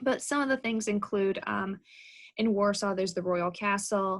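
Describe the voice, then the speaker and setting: Against a quiet background, a woman with a medium pitch talks at a moderate pace with fairly even intonation. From United States, born in Poland. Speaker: professor. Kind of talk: info session talk. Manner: hesitant, many fillers.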